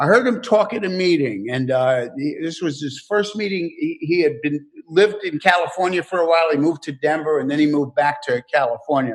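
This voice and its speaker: A man speaks at a fairly quick pace with an American accent and lively intonation. Noticeable background noise runs under his voice. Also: fairly high pitch for a man, hardly any pauses. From New York. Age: 70s. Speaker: recovery workshop speaker. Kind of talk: recovery talk. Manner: halting.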